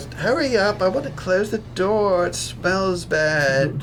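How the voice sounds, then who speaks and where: Over loud background noise, a put-on character voice comes through nasal and middle-pitched at a fairly slow pace. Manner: disgusted, urgent.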